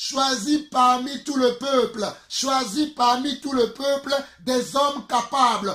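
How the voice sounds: A man speaks at a fairly slow pace in an extremely high pitch, with ordinary pitch variation and a fairly bright tone.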